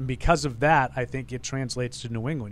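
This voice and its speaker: A man with a plain, everyday voice talks at a medium pitch with fairly even intonation. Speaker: sports radio co-host. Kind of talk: casual sports talk.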